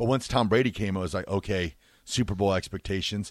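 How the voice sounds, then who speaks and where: A normal speaking voice from a man, fairly low in pitch with fairly even intonation and a fairly quick pace, in a very clean recording with a silent background and a dry, close sound with no echo. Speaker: sports radio co-host, former quarterback. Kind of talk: casual sports talk. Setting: radio studio.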